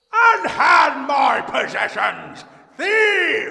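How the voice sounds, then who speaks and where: A man shouting in a put-on character voice, gruff and extremely high-pitched, with a slight echo. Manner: shouting, indignant.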